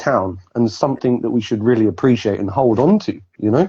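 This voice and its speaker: A man's dark, mellow tone unfolds at a moderate pace. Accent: southern English. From southern England, Basingstoke. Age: 40s. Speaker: guest. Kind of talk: casual chat.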